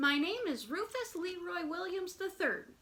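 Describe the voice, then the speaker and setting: At a moderate pace, a woman performs a put-on character voice with an extremely high pitch. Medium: read story. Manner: earnest, eager.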